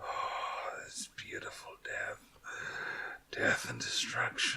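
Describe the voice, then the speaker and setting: A man whispers very slowly in a raspy, put-on character voice. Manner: gloating, dark.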